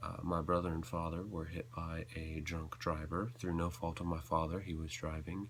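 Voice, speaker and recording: With an American accent, this voice moves at a moderate pace with ordinary pitch variation and hardly any pauses over noticeable background noise. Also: man, very deep, low pitch for a man. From US South, North Carolina. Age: young. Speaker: video blogger. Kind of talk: personal confessional vlog. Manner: halting.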